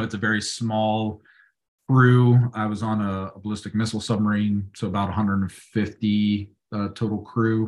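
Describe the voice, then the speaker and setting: A man talks fairly slowly at a medium pitch in a normal speaking voice. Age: 40s. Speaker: navy veteran and business owner. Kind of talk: casual chat.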